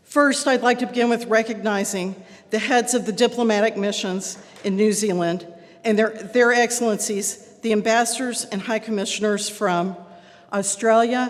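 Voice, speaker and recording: A woman with a Texan accent speaks at a fairly high pitch with fairly even intonation against noticeable background noise. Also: moderate pace. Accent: Texan American English. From Texas. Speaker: club president. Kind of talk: welcome speech.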